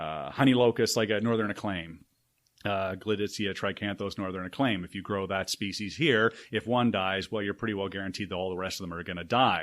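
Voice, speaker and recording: Talking at a fairly quick pace with a Canadian accent, a man uses a fairly low pitch and ordinary pitch variation. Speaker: city urban forester. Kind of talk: podcast interview. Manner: fast; animated.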